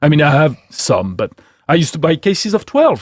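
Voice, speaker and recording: On a very clean recording with a silent background and a dry, close sound with no echo, a man with fairly high pitch and vocal fry talks at a fairly quick pace. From France. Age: 50s. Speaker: wine expert. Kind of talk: casual chat.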